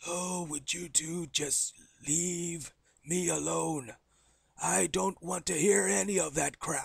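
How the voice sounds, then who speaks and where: A raspy, put-on character voice at a middle pitch, moving at a fairly slow pace. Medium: voice reel. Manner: irritated.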